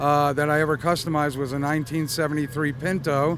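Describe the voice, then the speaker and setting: A man's fairly high voice comes through noticeable background noise, with audible echo from the room. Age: 60s. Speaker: car customizer at a car show. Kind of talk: casual interview. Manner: hesitant, many fillers.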